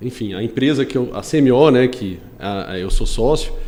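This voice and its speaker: Lively intonation marks this man's unremarkable speaking voice, pitched at a medium level. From Brazil, Goiânia. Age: 30s. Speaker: construction company executive and civil engineer. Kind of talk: podcast interview.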